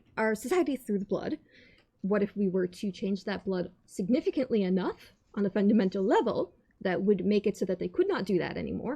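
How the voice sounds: Using a put-on character voice, a woman speaks at a fairly quick pace and medium pitch, with a dark, mellow tone, a slightly husky edge, vocal fry and big pitch swings.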